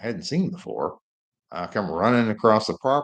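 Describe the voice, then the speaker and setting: A man with an American accent speaks at a fairly quick pace. The background is quiet. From Oklahoma. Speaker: homesteader and family channel host. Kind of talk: casual live-stream Q&A. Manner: halting, many fillers.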